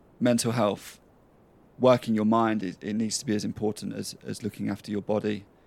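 A man at a fairly quick pace, fairly low in pitch, with monotone, flat intonation and vocal fry. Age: 30s. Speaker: podcast host. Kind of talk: solo monologue.

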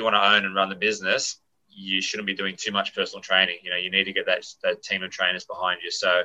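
A man with an Australian accent talks at a very fast pace. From Australia, Sydney. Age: 40s. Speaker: gym owner and personal trainer. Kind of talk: casual interview. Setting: remote call.

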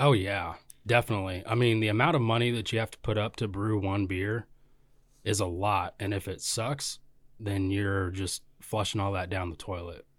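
A man with an unremarkable speaking voice, fairly low pitch, fairly even intonation, and a moderate pace, on a very clean recording with a silent background. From Kansas, Valley Center. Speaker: brewery canning line operator. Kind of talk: casual chat.

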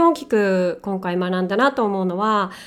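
The woman's medium pitch shows ordinary variation as she speaks. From Japan. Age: 40s. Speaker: podcast host. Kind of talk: casual monologue. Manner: halting.

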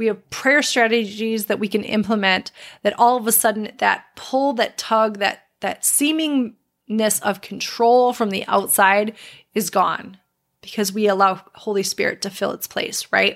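A woman's fairly high voice, an unremarkable speaking voice, with fairly even intonation at a fairly slow pace, on a very clean recording over a silent background. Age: 40s. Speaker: faith podcast host and health coach. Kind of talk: personal testimony monologue.

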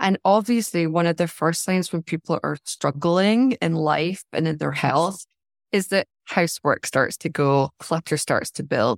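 A woman with a Scottish accent speaks at a fairly slow pace and fairly low pitch, with ordinary pitch variation. The recording is very clean and dry, close with no echo, over a silent background. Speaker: life and decluttering coach. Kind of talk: interview.

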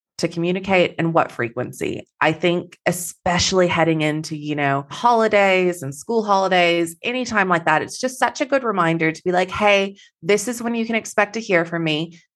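Here a woman talks with a slight Texan accent. She keeps a moderate pace with hardly any pauses. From Texas. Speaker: business coach. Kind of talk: podcast interview.

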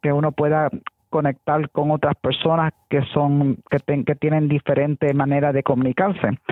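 A woman speaks at a very deep, low pitch. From New York, Puerto Rican family. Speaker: school administrator, science educator. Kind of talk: interview.

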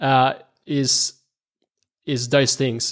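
Very clean with a silent background, the recording has a man with an Australian accent speaking at a fairly slow pace and a fairly high pitch. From Australia, moved from the Philippines at about eight. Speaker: video marketing agency founder. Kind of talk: interview. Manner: hesitant, many fillers and repetitions.

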